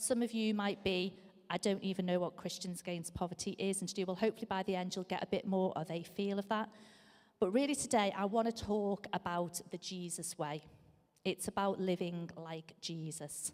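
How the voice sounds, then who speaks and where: A woman speaks at a moderate pace with a strong Scouse accent. Her pitch is medium, with ordinary variation. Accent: Scouse, strong and lasting. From Liverpool, England. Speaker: charity leader giving a church talk. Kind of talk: sermon-style talk. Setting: church service. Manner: frequent fillers (um).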